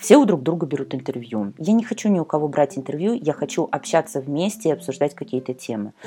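Music plays behind the speaker. She is a woman with a very deep, low pitch. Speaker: podcast host, communications consultant. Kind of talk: solo podcast monologue. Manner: fast.

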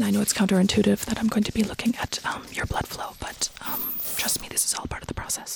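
Someone is whispering at a moderate pace. Noticeable background noise is present. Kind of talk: scripted role-play performance, a therapist guiding a patient through an odd test. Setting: live radio performance in a studio.

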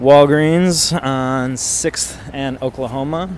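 A man's fairly high voice in an American accent, with fairly even intonation and noticeable background noise. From Milwaukee, US Midwest. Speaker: artist. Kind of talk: interview. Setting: outdoors.

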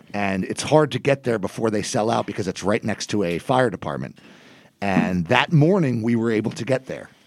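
Using a normal speaking voice, a man talks at a medium pitch and a fairly quick pace with lively intonation, on a very clean recording with a silent background. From New Jersey. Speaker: copy editor. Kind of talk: casual chat.

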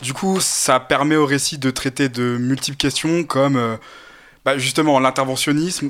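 A man speaks at a medium pitch and a fairly slow pace, in a normal speaking voice. His intonation stays fairly even. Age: 20s. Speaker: political science student. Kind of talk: casual chat.

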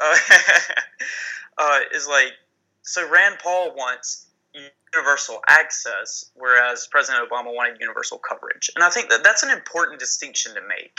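A man with a strong Southern US accent, leaving long, frequent pauses. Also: moderate pace. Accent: thick Southern US. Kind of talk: casual political discussion. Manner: halting, many fillers.

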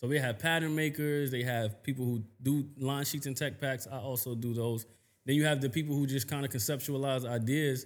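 An ordinary speaking voice with an American accent, delivered at a fairly quick pace. The intonation stays fairly even over a very clean recording with a silent background. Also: man, medium pitch for a man. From New York, Queens. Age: 30s. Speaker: fashion designer. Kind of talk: casual chat.

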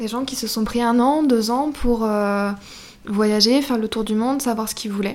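A woman's unremarkable speaking voice, fairly high in pitch, with fairly even intonation and a moderate pace. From Brittany, France. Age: 20s. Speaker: shop owner. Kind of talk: interview.

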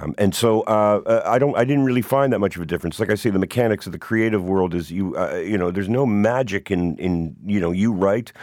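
In a Canadian accent, a man with an unremarkable speaking voice talks at a fairly quick pace and fairly low pitch, with ordinary pitch variation and hardly any pauses. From Hamilton, Ontario, Canada. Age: 50s. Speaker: musician and author. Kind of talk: casual interview, storytelling.

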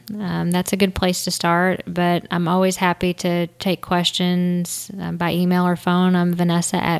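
This is a woman with an American accent. Her pitch is fairly low. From Indiana, small town. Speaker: trial attorney. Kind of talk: casual interview.

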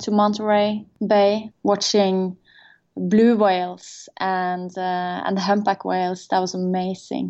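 A woman with a Norwegian accent speaks very slowly at a medium pitch, in a monotone with flat intonation. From Norway. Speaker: tech start-up co-founder. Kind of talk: interview. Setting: video call.

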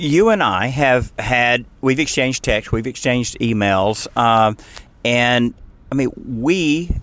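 A man with an American accent speaks fairly slowly in an ordinary speaking voice, medium in pitch with ordinary pitch variation. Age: 60s. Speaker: radio host and energy regulator. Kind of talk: casual interview. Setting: in a car.

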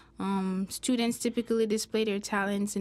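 A woman with a Jamaican accent speaks fairly high. Her intonation is monotone and flat. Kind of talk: interview.

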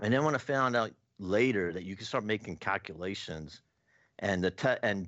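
In an ordinary speaking voice with an American accent, the speaker talks at a fairly quick pace with lively intonation. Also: man. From US. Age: 60s. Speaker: professional sports bettor and author. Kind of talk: interview.

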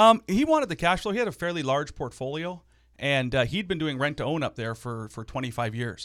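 In a very clean recording with a silent background, a man speaks at a fairly quick pace with a fairly high pitch and very wide pitch swings. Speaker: small business owner and real estate investor. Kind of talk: casual interview.

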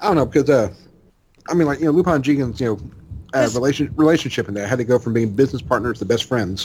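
Very fast delivery from a man, medium in pitch, its rise and fall ordinary. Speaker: podcast co-host, manga commentator. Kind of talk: casual chat.

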